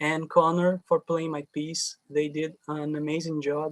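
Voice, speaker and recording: Speaking very slowly, a man with a fairly high voice keeps his intonation flat and monotone, in a dry, close sound with no echo. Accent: Portuguese. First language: Portuguese. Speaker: composer. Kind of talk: interview. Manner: halting, repeats words.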